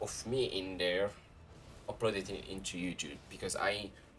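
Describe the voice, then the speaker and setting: A man's fairly low voice at a fairly slow pace with fairly even intonation and music in the background. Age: 20s. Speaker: gaming youtuber. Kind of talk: casual vlog monologue. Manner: halting.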